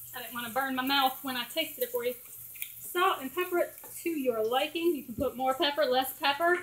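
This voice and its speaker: A woman with a Southern US accent talks at a fairly quick pace in a high pitch, with noticeable background noise. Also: ordinary pitch variation. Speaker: home cooking vlogger. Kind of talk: cooking tutorial. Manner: casual.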